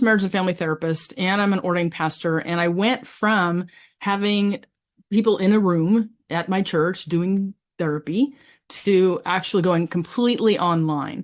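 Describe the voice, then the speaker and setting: Against a quiet background, a woman uses a normal speaking voice at a medium pitch, with ordinary pitch variation and a moderate pace. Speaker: pastor and family therapist. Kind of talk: webinar panel talk.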